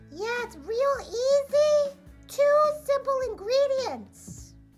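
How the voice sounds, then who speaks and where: Faint music plays under an extremely high-pitched, cartoonish character voice speaking at a very slow pace. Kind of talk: cooking demonstration. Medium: puppet.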